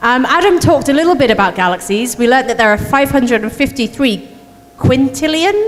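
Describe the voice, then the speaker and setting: Over noticeable background noise, a woman with a British accent speaks at a moderate pace with lively intonation. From United Kingdom. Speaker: astronomer. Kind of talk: public science talk.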